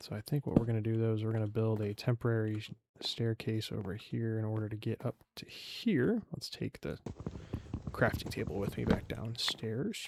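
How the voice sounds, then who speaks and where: Moderate in pace and fairly even in intonation, a man speaks at a medium pitch. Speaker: gaming youtuber. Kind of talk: live gameplay commentary. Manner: monotone; casual, self-correcting.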